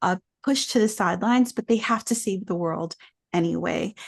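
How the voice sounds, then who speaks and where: It is a normal speaking voice at a fairly quick pace, with ordinary pitch variation. The sound is dry and close with no echo, against a quiet background. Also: woman. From New York City, Dominican family. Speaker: children's book author. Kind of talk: interview.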